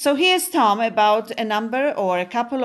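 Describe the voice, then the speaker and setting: With a Polish accent, a woman speaks at a moderate pace in a fairly high pitch, her pitch swinging very widely over a quiet background. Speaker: radio host. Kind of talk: casual radio chat. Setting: studio.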